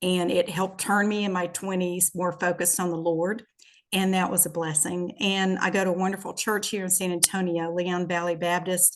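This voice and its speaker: A woman speaks with a Southern US accent. Her intonation is monotone and flat. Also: medium pitch for a woman, moderate pace, very even loudness. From US South, Shreveport, Louisiana. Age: 60s. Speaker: businesswoman and podcast guest. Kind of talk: casual interview, personal testimony.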